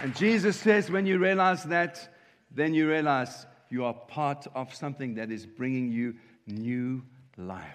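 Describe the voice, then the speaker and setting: A plain, everyday voice. It moves at a fairly slow pace against a quiet background. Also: man, fairly high pitch for a man, lively intonation. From South Africa, Cape Town. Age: 50s. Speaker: pastor. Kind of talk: sermon.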